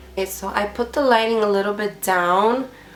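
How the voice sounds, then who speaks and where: Music sits in the background. The talking proceeds at a moderate pace. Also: woman. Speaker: beauty vlogger. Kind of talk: product review vlog. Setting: home filming at night, lights lowered. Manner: casual, filler-heavy.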